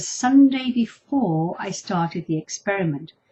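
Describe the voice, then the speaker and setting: Here a woman speaks with lively intonation. Her voice is somewhat breathy. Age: 60s. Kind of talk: video blog talk to camera.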